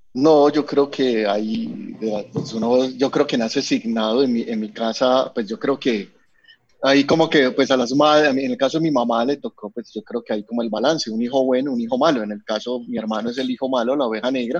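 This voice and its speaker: An unremarkable speaking voice from a man at medium pitch, with ordinary pitch variation and a fairly quick pace. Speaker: communications program director. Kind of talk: casual chat.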